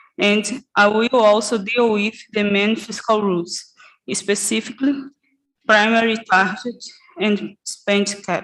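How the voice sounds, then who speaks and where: Very slow pace and fairly even intonation, in a Portuguese accent. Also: woman. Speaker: economist. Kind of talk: conference presentation. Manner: halting.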